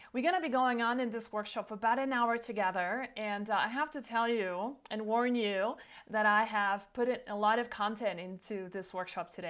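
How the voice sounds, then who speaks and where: Her fairly high voice moves at a fairly quick pace, as this woman keeps her intonation fairly even. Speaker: herbalist and nutrition practice founder. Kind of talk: online workshop presentation. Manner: fast.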